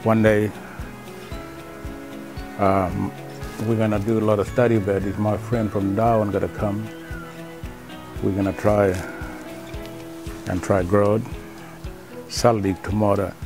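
A man with fairly low pitch and fairly even intonation at a fairly slow pace, long, frequent pauses, a dry sound with no echo and clear music in the background. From Gulf of Carpentaria, northern Australia. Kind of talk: artist talking about his artwork. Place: workshop.

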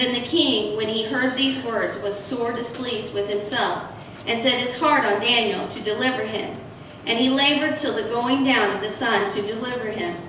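A woman's fairly even intonation amid audible room echo and noticeable background noise. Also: moderate pace. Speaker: church minister. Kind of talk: scripture reading in sermon. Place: church.

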